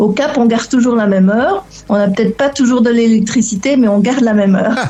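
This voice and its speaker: Noticeable background noise sits behind this recording. A woman talks at a very fast pace in a fairly high pitch. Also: ordinary pitch variation. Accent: slight Belgian. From Belgian family abroad, Lebanon-born. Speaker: relocation coach for remote workers. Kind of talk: interview. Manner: hesitant, many fillers and repetitions.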